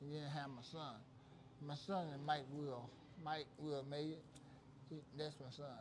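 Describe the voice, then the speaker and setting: A man's somewhat breathy, fairly high voice, monotone and flat, at a moderate pace with long, frequent pauses and audible room echo. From West Virginia. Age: 70s. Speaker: stream host. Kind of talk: casual chat.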